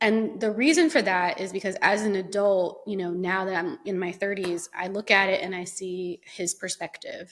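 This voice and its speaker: A woman's unremarkable speaking voice at medium pitch, moderate pace and ordinary pitch variation, with hardly any pauses. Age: 30s. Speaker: podcast host. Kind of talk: casual chat. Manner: conversational, with fillers.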